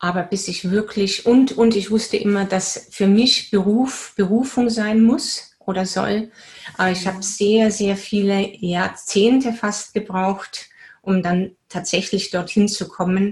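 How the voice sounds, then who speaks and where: A woman talks at a medium pitch with fairly even intonation. Her delivery is very slow and somewhat breathy. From Bavaria, Germany. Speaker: spiritual coach and teacher. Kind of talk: casual interview.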